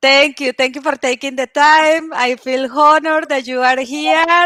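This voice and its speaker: A woman's high-pitched, raised and projected voice with a non-native accent, at a fairly slow pace. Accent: foreign accent in English. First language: not English. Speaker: show host. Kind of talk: interview. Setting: livestream.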